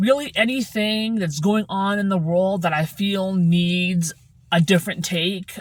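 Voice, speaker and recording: On a very clean recording with a silent background, a woman speaks at medium pitch, somewhat breathy, with ordinary pitch variation. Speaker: vlogger. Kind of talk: casual vlog monologue. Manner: slow, deliberate enunciation; hesitant with fillers.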